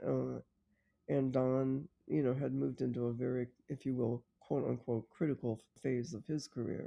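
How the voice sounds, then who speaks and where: With an American accent, a woman speaks at a moderate pace in a very deep, low pitch, using ordinary pitch variation. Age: 70s. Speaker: professor emerita of education. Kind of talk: interview conversation.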